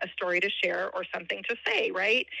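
A woman's bright, sharp tone carries fairly even intonation. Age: 50s. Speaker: relative of a missing person. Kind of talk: interview.

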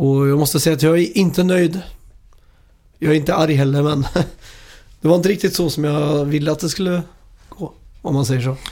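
A man's fairly high voice in a dark, mellow tone, at a fairly quick pace with fairly even intonation and long, frequent pauses. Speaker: video game podcast host. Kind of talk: casual chat.

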